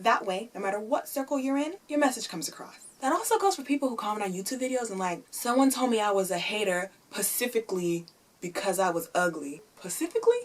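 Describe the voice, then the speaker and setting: At a fairly quick pace, the voice swings very widely in pitch over noticeable background noise. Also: woman. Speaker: YouTuber. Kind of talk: opinion vlog. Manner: animated; loud.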